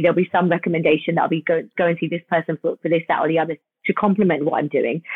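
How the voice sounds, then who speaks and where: In a British accent, a woman with a fairly low pitch speaks very fast in a flat monotone. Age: 40s. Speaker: cosmetic dentist. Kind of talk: interview.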